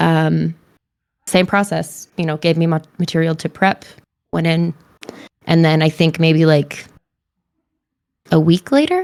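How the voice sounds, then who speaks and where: A woman speaks quietly in a fairly low, monotone voice with flat intonation. She moves at a fairly slow pace with long, frequent pauses. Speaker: voice and mocap actor. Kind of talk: casual interview chat.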